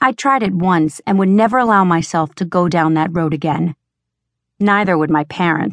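A woman's ordinary speaking voice, fairly low in pitch, at a moderate pace with ordinary pitch variation and very even loudness, dry and close with no echo over a quiet background. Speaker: audiobook narrator. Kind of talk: dramatic first-person audiobook narration, romance fantasy. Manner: intense, urgent, sultry and sardonic; expressive, shifts to heated dialogue.

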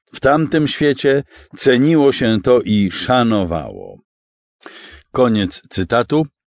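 Against a quiet background, the speaker moves at a very slow pace in a solemn tone, with very even loudness and long, frequent pauses. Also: man, medium pitch for a man, lively intonation. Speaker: audiobook narrator. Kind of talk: audiobook narration, read aloud from the author's preface with a quoted passage. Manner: formal, measured and solemn, reflective and earnest tone.

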